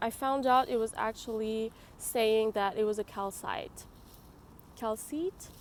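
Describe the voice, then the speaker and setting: The woman's voice is fairly high in pitch. She talks fairly slowly. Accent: French. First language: French. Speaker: tarot reader YouTuber. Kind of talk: tarot reading tutorial to camera. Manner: hesitant, many fillers.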